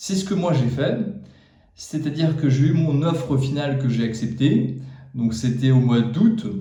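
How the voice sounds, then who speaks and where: Amid noticeable background noise and audible room echo, a man with a fairly high pitch speaks fairly slowly with ordinary pitch variation. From France. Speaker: YouTuber giving job advice. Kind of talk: casual talk to camera. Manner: hesitant, many fillers.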